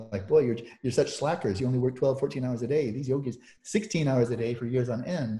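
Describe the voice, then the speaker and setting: A man talks very fast in a dark, mellow, somewhat breathy voice with ordinary pitch variation. The recording is very clean, with a silent background. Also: medium pitch for a man. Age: 70s. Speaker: meditation teacher and scholar. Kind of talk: interview conversation.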